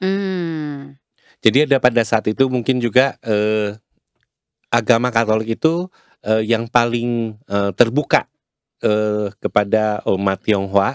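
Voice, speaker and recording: Very slowly, a man speaks in a dry sound with no echo against a quiet background. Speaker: community representative; podcast guest. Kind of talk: casual interview. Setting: studio. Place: studio. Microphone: studio mic.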